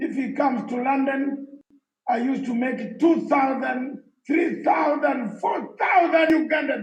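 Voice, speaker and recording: A man's extremely high-pitched voice moves at a fairly slow pace with ordinary pitch variation. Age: 60s. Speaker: exiled opposition activist. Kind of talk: conference speech. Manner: emphatic.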